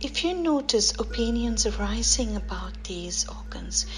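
A calm, soothing tone at a fairly slow pace over noticeable background noise. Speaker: meditation instructor. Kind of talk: guided meditation, body scan instruction. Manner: slow, calm, soothing, gently paced with long pauses; instructional, explanatory.

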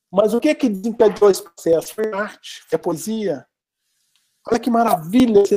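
Speaking with a Minas Gerais accent, a man has a high pitch and a dark, mellow tone. His pace is moderate, with ordinary pitch variation. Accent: Brazilian Portuguese, Minas Gerais. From Brazil, Minas Gerais (Belo Horizonte). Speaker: art professor. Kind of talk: interview.

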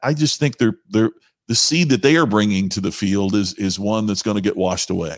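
A man with a Midwestern American accent and lively intonation. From southern Indiana. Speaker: professional speaker. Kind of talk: casual chat. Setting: video call.

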